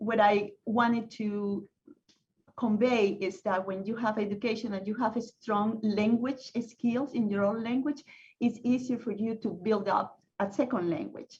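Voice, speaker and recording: At a fairly slow pace, a woman with a Spanish accent speaks in a fairly high, somewhat breathy voice. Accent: Spanish-speaking. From Venezuela, Caracas. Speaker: panel speaker. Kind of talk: panel discussion. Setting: video call. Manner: halting.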